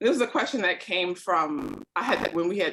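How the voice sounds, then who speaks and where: Loud and at a moderate pace, a woman speaks at a medium pitch with very wide pitch swings. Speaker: panel moderator. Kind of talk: panel discussion. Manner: casual, halting with fillers.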